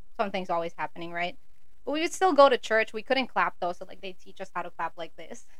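A woman's medium-pitched voice at a very fast pace, with lively intonation, big swings in loudness and audible room echo. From Philippines, raised in Saudi Arabia. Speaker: church musician. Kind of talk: testimony.

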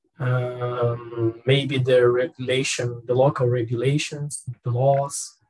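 A man speaks in a Portuguese accent at a medium pitch. His voice is somewhat breathy, with monotone, flat intonation. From Brazil. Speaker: language student, tech worker. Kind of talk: language class discussion. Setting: video call.

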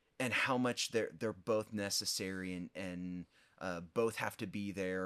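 With a Midwestern American accent, a man speaks at a fairly slow pace with a very deep, low pitch and fairly even intonation, on a very clean recording with a silent background. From US Midwest, southern Illinois. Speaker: pastor. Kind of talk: interview conversation.

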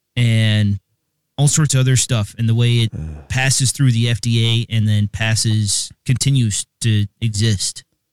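In a normal speaking voice, a man talks at medium pitch with fairly even intonation, the sound dry and close with no echo. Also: fairly slow pace. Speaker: podcast co-host. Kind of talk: casual chat.

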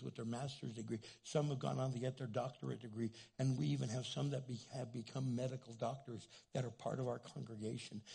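A man with an American accent talks at a fairly quick pace. His medium-pitched voice has a dark, mellow tone and vocal fry. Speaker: pastor. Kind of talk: sermon. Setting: church stage with audience. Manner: animated, excitable.

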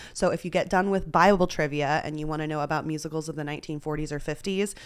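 A woman talks at a very fast pace in a fairly low pitch. Her intonation is fairly even. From Texas. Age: 30s. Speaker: poker player. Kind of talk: casual chat. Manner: filler-heavy, talks a lot.

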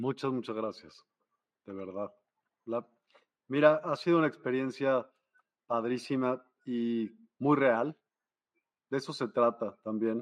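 At a very slow pace with long, frequent pauses, a man speaks at medium pitch, his pitch varying in an ordinary way. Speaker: live show host. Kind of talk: live-streamed interview. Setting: video call live stream.

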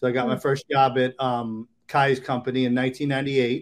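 A man speaks at a moderate pace with an American accent and a medium pitch. The background is quiet. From Maryland. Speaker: real estate agent. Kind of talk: interview. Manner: halting.

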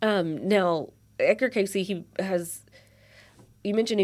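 Someone speaks with a Kentucky accent and ordinary pitch variation in a very clean recording with a silent background. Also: woman. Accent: Southern US, Kentucky. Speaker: podcast host. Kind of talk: casual conversational interview. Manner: filler-heavy, hesitant.

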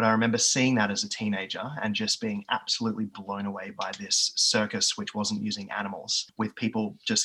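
A man with an Australian accent at a moderate pace, with noticeable background noise. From Australia, east of Melbourne. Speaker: physiotherapist and division manager. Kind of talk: interview. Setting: video call.

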